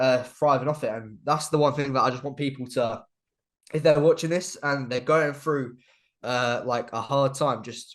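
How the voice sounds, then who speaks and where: A speaker with an English accent talks at a moderate pace. The intonation stays fairly even over a quiet background. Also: man, fairly high pitch for a man. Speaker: YouTuber and video editor. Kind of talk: casual interview chat. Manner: halting, repetitive.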